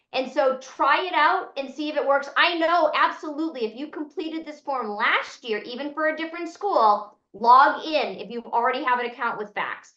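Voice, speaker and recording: A woman with an American accent speaks in a raised, projected, high-pitched voice at a moderate pace, with lively intonation, big swings in loudness and hardly any pauses. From Boston, US. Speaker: financial aid consultant. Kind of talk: webinar Q&A.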